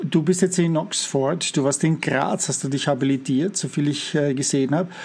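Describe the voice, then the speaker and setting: A woman with ordinary pitch variation, against noticeable background noise. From Austria, Vienna. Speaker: podcast host. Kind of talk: interview.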